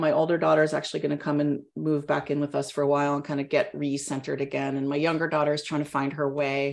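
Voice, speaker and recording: In a Californian accent, a woman speaks at a very fast pace against a quiet background. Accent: Californian American. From Northern California, Mendocino County. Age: 50s. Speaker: fitness coach and athlete. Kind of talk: casual interview.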